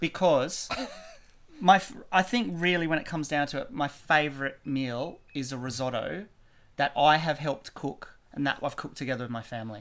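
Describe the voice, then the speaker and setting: With an Australian accent, a man talks at a fairly high pitch. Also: ordinary pitch variation, moderate pace. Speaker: teacher. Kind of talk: casual chat. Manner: halting, many fillers.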